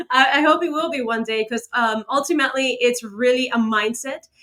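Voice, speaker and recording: A woman speaks with a slight Cuban accent. Her pace is moderate. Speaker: motivational speaker. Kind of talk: interview.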